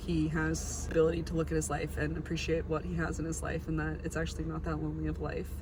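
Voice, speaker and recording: Recorded with audible room echo, a woman speaks over noticeable background noise. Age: 20s. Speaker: vlogger. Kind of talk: casual vlog talk to camera. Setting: outdoors at a pier at sunset. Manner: animated.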